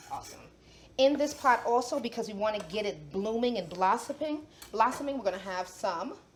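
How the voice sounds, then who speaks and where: Against noticeable background noise, a woman with a New York accent talks in a fairly high voice, her tone animated and her intonation lively. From New York City (the Bronx). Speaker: chef and cooking show host. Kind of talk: cooking demonstration.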